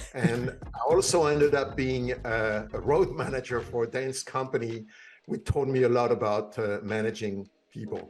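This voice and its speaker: Someone with a French accent speaks at a moderate pace with ordinary pitch variation. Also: man, medium pitch for a man. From France. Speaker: cybersecurity executive. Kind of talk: interview. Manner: hesitant, many fillers.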